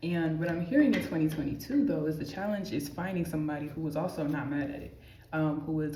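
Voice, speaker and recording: Soft-spoken and very deep in pitch, a woman talks at a fairly quick pace amid noticeable background noise and audible room echo. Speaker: tarot reader. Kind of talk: tarot reading. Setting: amenities building. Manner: casual, filler-heavy.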